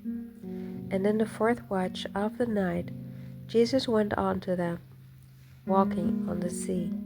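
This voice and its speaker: Over music in the background, a woman at medium pitch speaks at a very slow pace in a calm, gentle tone. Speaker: hobby Bible narrator. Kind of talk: scripture reading. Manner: gentle, calm; calm, easy.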